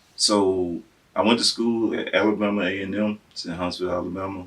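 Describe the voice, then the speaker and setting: A man with a Southern US accent speaks at a very fast pace. His pitch is fairly low and his intonation is monotone and flat. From Tennessee. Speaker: civil engineer. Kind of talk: interview answer.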